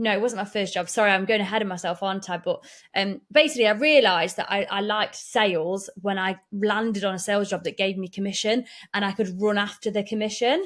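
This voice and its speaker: A woman talks at a very fast pace with an East Midlands accent, her voice at a medium pitch and her pitch varying in an ordinary way. The recording is very clean against a silent background. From Derbyshire, English Midlands. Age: 30s. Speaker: business owner and mum. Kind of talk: podcast interview. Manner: animated, chatty.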